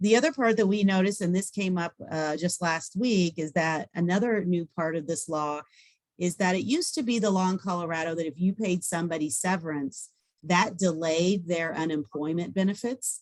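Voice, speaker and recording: A woman's fairly low-pitched voice with ordinary pitch variation. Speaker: employment lawyer. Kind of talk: webinar presentation. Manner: fast.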